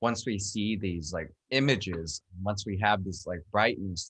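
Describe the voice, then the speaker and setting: Against a quiet background, a man with an American accent and a normal speaking voice talks at a moderate pace, his fairly low pitch showing ordinary variation. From United States. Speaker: buddhist monk, meditation teacher. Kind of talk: dharma talk discussion.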